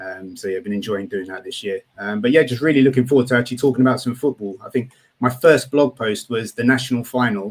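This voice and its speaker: With a British accent, a man talks very fast at a medium pitch, with hardly any pauses. His loudness swings widely. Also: ordinary pitch variation. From Britain. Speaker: college football writer. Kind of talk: casual podcast chat.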